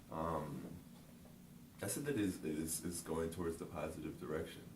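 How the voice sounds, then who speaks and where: With audible room echo around him, a man speaks at a fairly slow pace in a very deep, low pitch. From Japan, moved to US (Virginia, Michigan) at 13. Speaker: interview guest. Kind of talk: interview. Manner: casual, repetitive fillers.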